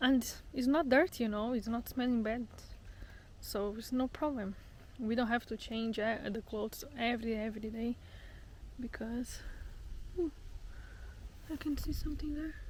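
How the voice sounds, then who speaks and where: Speaking at a moderate pace with long, frequent pauses, a woman uses a fairly high pitch and ordinary pitch variation. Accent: non-native. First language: not English. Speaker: travel vlogger. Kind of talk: casual vlog monologue. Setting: outdoors on a hike. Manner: halting, repeats words.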